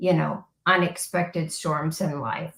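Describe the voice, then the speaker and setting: Speaking very slowly with an American accent, a woman keeps a fairly low pitch and fairly even intonation. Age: 60s. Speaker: podcast guest, former occupational therapist. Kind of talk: interview testimony.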